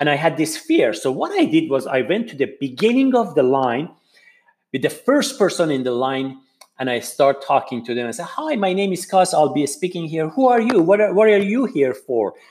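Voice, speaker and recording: With a non-native accent, a man talks at a moderate pace in a fairly high pitch, his voice making very wide pitch swings. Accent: heavy non-native. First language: not English. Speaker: podcast host and public speaker. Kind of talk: motivational talk / monologue.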